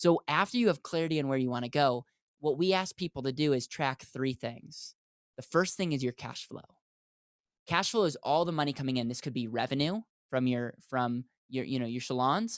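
A man with an American accent speaks in a fairly high pitch at a fairly quick pace, with an animated tone and ordinary pitch variation. The sound is dry and close with no echo. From US Midwest, Wisconsin. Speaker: financial advisor. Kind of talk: interview.

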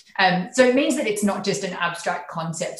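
A woman with an Australian accent speaks at a moderate pace. There is audible room echo and noticeable background noise. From regional Queensland, Australia. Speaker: tech company country manager. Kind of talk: interview.

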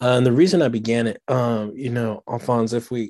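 Against a quiet background, a man with an American accent speaks at a medium pitch and a moderate pace. His tone is dark and mellow, and his intonation is fairly even. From Washington, D.C. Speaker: pastor and author. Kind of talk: podcast interview.

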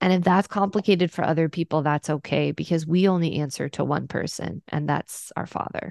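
With a fairly low pitch, some vocal fry and fairly even intonation, a woman speaks at a fairly quick pace with hardly any pauses, in a dry, close sound with no echo against a quiet background. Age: 30s. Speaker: pastor. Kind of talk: interview conversation.

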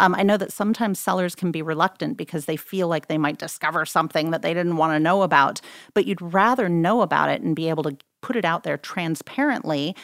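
On a very clean recording with a silent background, a woman talks very fast at a fairly low pitch. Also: ordinary pitch variation. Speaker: real estate agent. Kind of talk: casual interview. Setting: studio.

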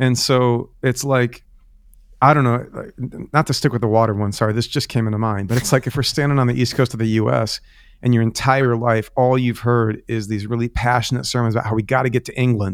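His pace is fairly quick, and his intonation stays fairly even. It's a man with an unremarkable speaking voice, pitched in the middle range. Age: 30s. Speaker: pastor. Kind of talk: interview conversation. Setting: remote call from home.

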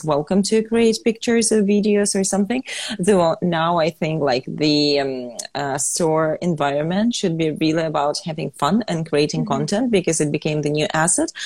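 Against noticeable background noise, a woman with a fairly low pitch talks at a moderate pace with ordinary pitch variation. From Ukraine. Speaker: fashion entrepreneur. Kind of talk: interview.

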